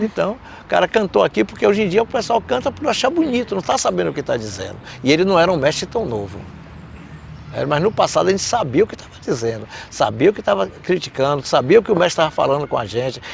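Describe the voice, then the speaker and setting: A man speaks very fast in a high voice with very wide pitch swings, over noticeable background noise. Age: 70s. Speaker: capoeira master. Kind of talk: interview storytelling. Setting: event in Madrid.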